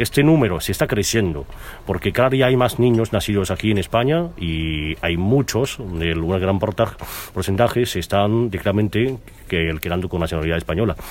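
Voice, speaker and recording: Speaking at a fairly quick pace, a man with a fairly low pitch uses lively intonation over noticeable background noise. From China. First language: Mandarin Chinese (speaking Spanish). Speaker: businessman and radio founder. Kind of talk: interview. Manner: halting.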